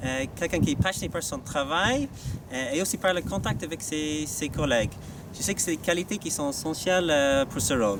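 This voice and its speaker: With an Irish accent, a man speaks at a moderate pace and a fairly high pitch, his intonation lively. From Ireland. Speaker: staff election candidate, business school sales manager. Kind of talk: campaign video statement. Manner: halting, many hesitations.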